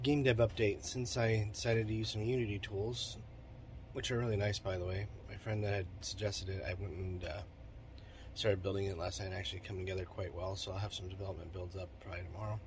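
Somewhat breathy and fairly low in pitch, a man talks at a very fast pace with fairly even intonation. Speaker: digital marketing entrepreneur and game developer. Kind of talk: solo vlog monologue.

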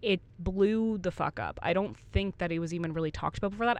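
A woman with a plain, everyday voice speaks at a fairly quick pace, with ordinary pitch variation. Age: 30s. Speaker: podcast co-host. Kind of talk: casual chat.

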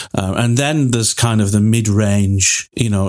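A man with a Lancashire accent speaks at a moderate pace and a fairly low pitch. His intonation is fairly even. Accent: northern English (Lancashire). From northern England, Wigan. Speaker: podcast co-host. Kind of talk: casual chat.

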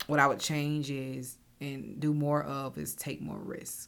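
A woman speaks at a very slow pace with an American accent. Her pitch is very deep and low, and her intonation is monotone and flat. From US South, Augusta, Georgia. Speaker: financial services founder. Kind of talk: casual interview chat.

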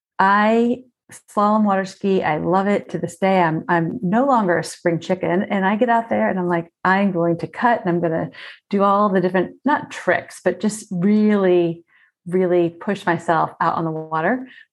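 Against a quiet background, a woman talks at a moderate pace. Her pitch is medium, with ordinary pitch variation. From South Florida. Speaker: speaker and communication trainer. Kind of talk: casual interview chat. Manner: energetic.

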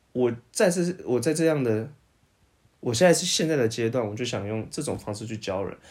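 At a moderate pace, a plain, everyday voice moves with lively intonation. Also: man, medium pitch for a man. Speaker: podcast co-host. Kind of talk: casual chat.

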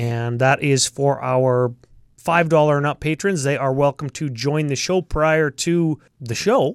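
A man speaks at a fairly slow pace in an ordinary speaking voice, pitched fairly high with ordinary pitch variation, and the sound is dry and close with no echo. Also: very clean recording, silent background. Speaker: podcast co-host. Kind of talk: casual chat.

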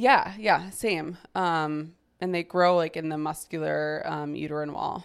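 Recorded very cleanly against a silent background, a woman talks at a fairly slow pace. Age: 20s. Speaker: podcast host. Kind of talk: casual chat.

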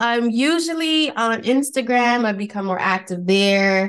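The recording is very clean, the background silent. Her intonation is lively, and the speaker is a woman. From the Bronx, New York. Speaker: podcaster and blogger. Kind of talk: casual interview chat.

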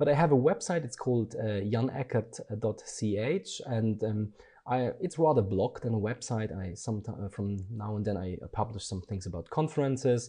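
A man speaks at a moderate pace and medium pitch, with ordinary pitch variation and a somewhat breathy, dark, mellow tone. The background is quiet. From Germany. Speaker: design educator. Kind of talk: interview. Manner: hesitant, many fillers.

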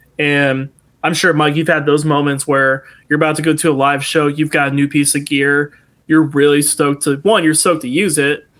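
Fairly quick, fairly high-pitched speech from a man with a Midwestern American accent, in a monotone, flat intonation. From US Midwest, Toledo, Ohio. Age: 20s. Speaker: musician. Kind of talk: casual chat.

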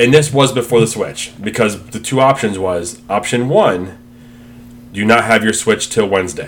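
A man at a moderate pace, with pitch that varies in an ordinary way. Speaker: podcast co-host. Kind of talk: casual chat.

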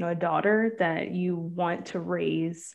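A woman talks at a moderate pace with a medium pitch. She has an ordinary speaking voice. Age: 30s. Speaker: podcast co-host. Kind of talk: casual chat.

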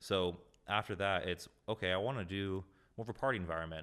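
Very deep and low in pitch, a man with an American accent talks at a fairly quick pace. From Southern California (Carlsbad). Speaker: music producer and record label co-owner. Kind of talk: casual interview chat.

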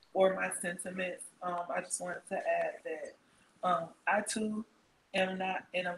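A woman is speaking. Her voice is quiet. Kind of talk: casual chat. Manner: quiet, trying to speak up.

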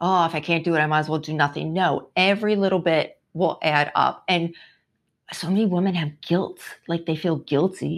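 A woman with a New York accent speaks at a moderate pace in a fairly low pitch, her intonation fairly even against a quiet background. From New York City. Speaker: entrepreneur and wellness coach. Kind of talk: casual interview chat.

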